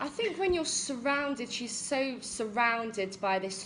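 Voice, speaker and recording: Speech with lively intonation comes at a fairly slow pace amid noticeable background noise and audible room echo. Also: woman. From England, Essex and near Bristol. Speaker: English teacher. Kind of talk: casual chat. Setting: livestream. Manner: frequent um fillers.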